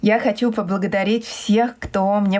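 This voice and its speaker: At a moderate pace, a woman talks in a normal speaking voice, her intonation fairly even. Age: 30s. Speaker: podcast host, English teacher. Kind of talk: casual interview; scripted outro. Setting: remote video call.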